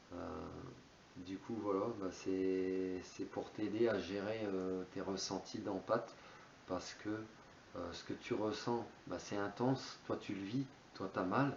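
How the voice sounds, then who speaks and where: Pausing long and often, a man speaks at a very slow pace with fairly low pitch and fairly even intonation. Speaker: spiritual YouTuber. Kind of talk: monologue on spirituality. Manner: hesitant, many fillers.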